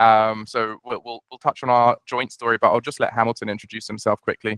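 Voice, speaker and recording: Fairly quick, monotone speech with flat intonation in a British accent, big swings in loudness, dry and close with no echo. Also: man, medium pitch for a man. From UK. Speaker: startup founder and CEO. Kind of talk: webinar presentation. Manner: hesitant, many fillers and repeats.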